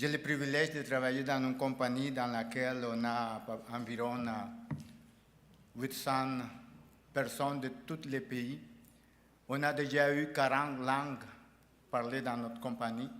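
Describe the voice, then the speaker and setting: A man's medium-pitched, monotone voice at a fairly slow pace, broken by long, frequent pauses, with audible room echo. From El Salvador. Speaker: award recipient, union president. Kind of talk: acceptance speech. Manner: halting, with false starts.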